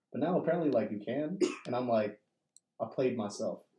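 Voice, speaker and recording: Dark and mellow in tone, a man talks at a very fast pace with ordinary pitch variation. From Indonesia and US. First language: Indonesian. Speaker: poet. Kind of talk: casual chat. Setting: studio. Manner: animated.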